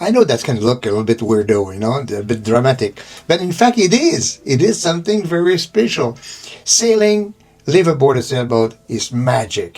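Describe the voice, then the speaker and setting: A man talks with a non-native accent over noticeable background noise. His pitch swings very widely. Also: medium pitch for a man, moderate pace. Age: 70s. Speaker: liveaboard sailor and author. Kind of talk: casual video monologue.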